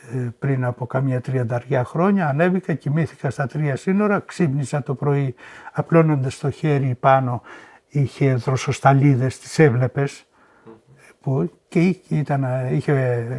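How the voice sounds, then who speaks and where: Somewhat breathy and fairly high in pitch, a man speaks at a fairly slow pace with ordinary pitch variation, in a dry, close sound with no echo. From Boeotia, Greece. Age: 70s. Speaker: Sarakatsani oral history witness. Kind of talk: interview answer.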